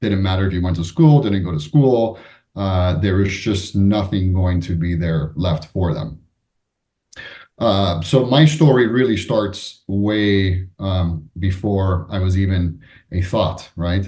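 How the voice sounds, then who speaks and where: A man with a Spanish accent speaks at a very slow pace in a very deep, low pitch. His tone is dark and mellow, and somewhat breathy. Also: ordinary pitch variation. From United States (Cuban-born, Spanish-speaking home). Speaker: business executive and author. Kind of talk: interview. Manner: hesitant, many fillers.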